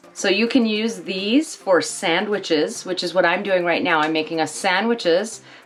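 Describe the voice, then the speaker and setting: Noticeable background noise sits behind a woman's voice. She talks at a moderate pace and medium pitch with ordinary pitch variation. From Canada. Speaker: travel vlogger. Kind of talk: tutorial.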